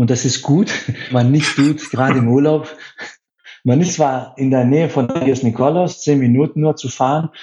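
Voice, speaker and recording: A man's somewhat breathy, fairly high voice in a Greek accent, with a moderate pace and ordinary pitch variation. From Greece, Athens. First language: Greek (speaking German). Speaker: hotel sales director. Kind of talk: radio interview.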